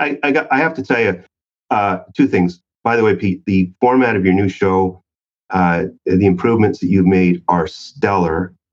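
In a normal speaking voice, a man speaks at a moderate pace and a fairly low pitch, with lively intonation and very even loudness. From Canada. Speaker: sales author and trainer. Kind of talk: casual interview chat.

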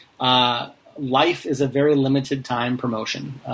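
Against noticeable background noise, a man speaks at medium pitch in a flat, monotone way. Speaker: podcast host. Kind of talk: casual interview chat.

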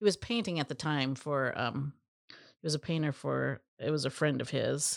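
A woman with a very deep, low pitch and vocal fry, at a moderate pace with ordinary pitch variation, on a very clean recording with a silent background. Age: 50s. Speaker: co-founder of family business. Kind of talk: interview.

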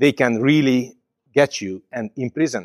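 With a Hungarian accent, a man talks at a moderate pace with ordinary pitch variation in a dry, close sound with no echo. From Hungary. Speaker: pastor and missions trainer. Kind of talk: conference talk. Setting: stage with audience. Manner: halting, with many fillers.

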